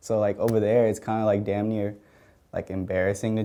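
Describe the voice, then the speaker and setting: Fairly low-pitched and at a fairly quick pace, a man talks with a Spanish accent. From Mexico City, raised in Georgia. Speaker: music producer. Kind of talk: casual interview. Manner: casual, filler-heavy.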